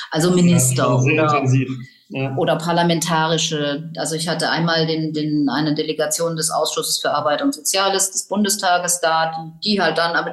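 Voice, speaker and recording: A woman talks at a fairly quick pace in a fairly low pitch. Noticeable background noise runs underneath. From Tübingen, southwestern Germany. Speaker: lawyer, ministry official. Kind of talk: interview. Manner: hesitant, with many fillers.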